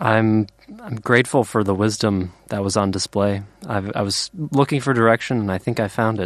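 A man with a plain, everyday voice speaks at a moderate pace in a fairly low pitch, with ordinary pitch variation. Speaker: audience member asking question. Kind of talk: audience question. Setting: studio with live audience.

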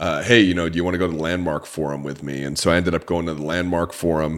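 Speech with ordinary pitch variation and an American accent. The pace is very fast. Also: man. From Orange County, California. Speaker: podcast host and author. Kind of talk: podcast interview, promotional.

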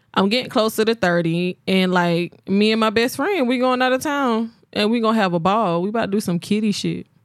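In a plain, everyday voice, a woman with a fairly high pitch talks at a fairly quick pace with hardly any pauses, ordinary pitch variation and very even loudness on a very clean recording with a silent background. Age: 20s. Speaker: podcast co-host. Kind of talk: casual chat.

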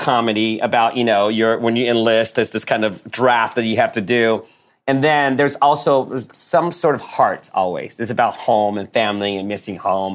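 With an ordinary speaking voice, a man talks at a fairly quick pace and a medium pitch. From born in Taiwan, raised in US from age eight. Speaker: screenwriter and producer. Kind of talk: casual interview. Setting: video call.

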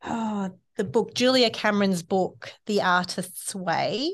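A woman with an Australian accent. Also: quiet background. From Australia (Sydney). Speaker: eco-living facilitator. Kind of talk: casual interview chat. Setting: podcast studio at a library.

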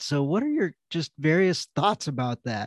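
Over a quiet background, a man talks at a fairly quick pace in an enthusiastic tone, with ordinary pitch variation and a dry, close sound with no echo. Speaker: podcast host. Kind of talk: casual interview.

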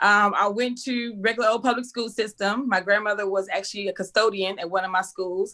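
A woman's medium-pitched, bright, sharp voice in a Texas accent at a very fast pace, on a very clean recording with a silent background. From Texas, Waco. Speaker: school teacher and inspirational speaker. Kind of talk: casual interview. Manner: energetic.

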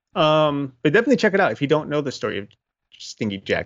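A man talks at a very fast pace with lively intonation. His voice carries vocal fry. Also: quiet background. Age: 30s. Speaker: paranormal podcast co-host. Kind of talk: casual chat.

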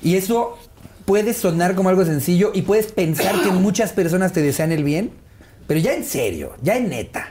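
A man speaks with a Mexican accent at a fairly slow pace. His tone is dark and mellow. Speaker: stand-up comedian. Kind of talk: casual interview chat.

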